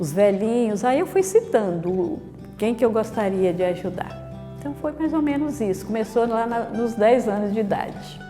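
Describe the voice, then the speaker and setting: With music in the background, a woman talks at a moderate pace in a fairly high pitch with lively intonation. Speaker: Dominican nun. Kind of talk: oral history interview answer.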